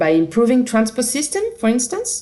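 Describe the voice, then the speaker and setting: A woman speaks in a French accent with a somewhat breathy voice. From France. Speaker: company representative presenting a product. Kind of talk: product presentation.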